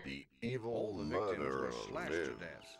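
At a fairly slow pace, a man puts on a robotic character voice with a very deep, low pitch.

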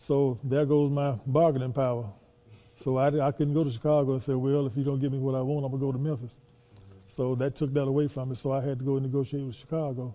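This voice has a dark, mellow tone and a flat, monotone delivery, moving at a very fast pace with big swings in loudness. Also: man. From US South. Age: 70s. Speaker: former professional basketball player. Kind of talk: interview. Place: hall.

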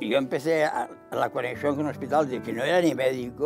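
Clear music plays in the background. A man talks at a fairly quick pace with ordinary pitch variation. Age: 80s+. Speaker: elderly interviewee. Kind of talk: interview answer. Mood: calm reminiscing. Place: home room. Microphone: lapel.

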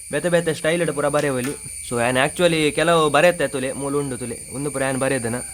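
In a coastal Karnataka accent, a man with a fairly high pitch speaks with fairly even intonation. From Tulu Nadu, coastal Karnataka. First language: Tulu (speaking Kannada). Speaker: tech vlogger. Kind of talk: tutorial.

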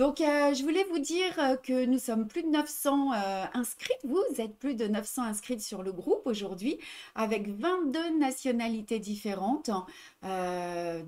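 Here a woman talks at a moderate pace in a fairly high pitch with ordinary pitch variation. Her tone is slightly mellow.

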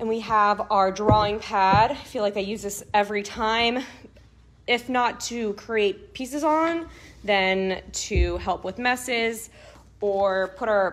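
The pace is fairly slow. The pitch shows ordinary variation. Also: woman. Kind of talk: tutorial. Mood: warm, cheerful. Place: home room. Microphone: camera far.

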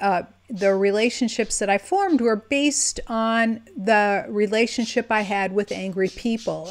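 A woman speaks at a very slow pace. Her pitch variation is ordinary. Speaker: relationship or energy coach. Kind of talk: casual vlog chat. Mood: earnest personal storytelling. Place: home room. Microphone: webcam.

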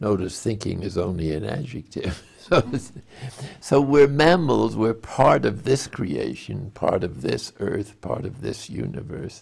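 Vocal fry marks this man's voice, and his pitch swings very widely. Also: fairly low pitch for a man, fairly slow pace. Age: 90s. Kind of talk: spiritual teaching talk. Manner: slow, hesitant, thoughtful. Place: home room.

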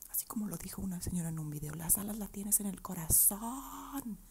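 A woman's somewhat breathy voice with a dark, mellow tone. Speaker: vlogger answering viewer questions. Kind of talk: casual vlog chat, soft ASMR-like. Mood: playful, encouraging. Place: home room. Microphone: earbuds.

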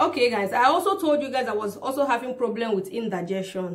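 Woman with ordinary pitch variation. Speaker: vlogger. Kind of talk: casual vlog chat. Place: home room.

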